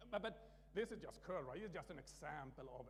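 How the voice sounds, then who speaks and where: A man with a Swedish accent at a moderate pace, with audible room echo and music in the background. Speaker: conference speaker, open source maintainer. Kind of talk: conference talk. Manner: halting, many restarts.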